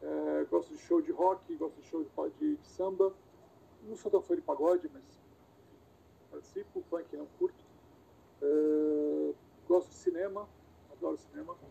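A man speaks with big swings in loudness and long, frequent pauses. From Brazil, Santos (São Paulo state), also lived in Rio and Bahia. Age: 40s. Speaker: wheelchair user with spinal cord injury, former cameraman. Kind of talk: interview. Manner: casual, hesitant with repetitions.

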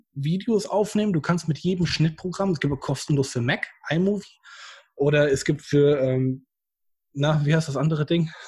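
A man's fairly high voice, with ordinary pitch variation and a moderate pace. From Germany, Bad Oeynhausen (East Westphalia). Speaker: YouTuber, painter and decorator. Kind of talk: interview.

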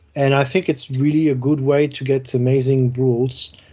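Speaking at a moderate pace, a man talks with a French accent. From France. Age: late 30s. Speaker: podcast co-host, tabletop wargamer. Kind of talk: casual chat.

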